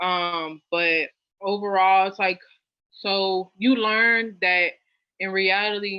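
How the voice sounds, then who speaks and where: In her middle register, a woman keeps her intonation fairly level. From US South, New Orleans. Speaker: Spanish language learner. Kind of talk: casual chat.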